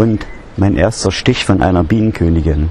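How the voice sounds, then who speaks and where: Recorded with a dry sound, no echo and light background noise, a man with a very deep, low pitch talks at a fairly slow pace. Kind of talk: casual vlog chat. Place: garden.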